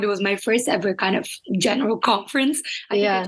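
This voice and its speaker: A woman speaks with a Portuguese accent at a moderate pace. Her medium-pitched voice has ordinary pitch variation. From Brazil. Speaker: climate advocate and NGO founder. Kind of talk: casual interview chat.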